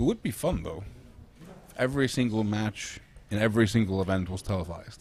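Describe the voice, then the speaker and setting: A man speaks at a fairly quick pace, somewhat breathy, with ordinary pitch variation. He takes long, frequent pauses. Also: fairly low pitch for a man. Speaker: sports commentator. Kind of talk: live commentary. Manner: casual, halting.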